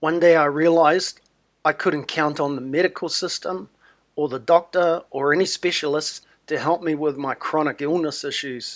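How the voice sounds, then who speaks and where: A man with a New Zealand accent speaks with fairly even intonation. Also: fairly high pitch for a man, moderate pace, very clean recording, silent background. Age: 60s. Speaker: wellness promoter. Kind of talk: sales pitch.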